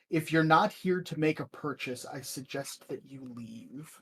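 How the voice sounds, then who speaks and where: Man doing a put-on character voice, shrill and fairly high in pitch, at a moderate pace. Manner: stern, dismissive.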